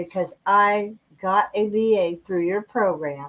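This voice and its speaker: In an American accent, a woman talks at a very slow pace. Her medium pitch shows ordinary variation. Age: 60s. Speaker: oil and gas worker, program member. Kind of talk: casual chat. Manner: natural storytelling.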